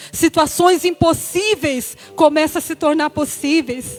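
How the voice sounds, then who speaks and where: Speech at a fairly slow pace shows ordinary pitch variation. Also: woman. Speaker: deaconess preaching. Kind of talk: sermon. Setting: church service.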